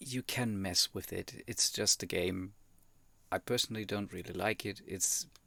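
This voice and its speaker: With a German accent, a man speaks at a moderate pace in a bright, sharp, fairly low voice with fairly even intonation, the sound dry and close with no echo. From Germany. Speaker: YouTube reactor. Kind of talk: reaction commentary. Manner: hesitant, many fillers.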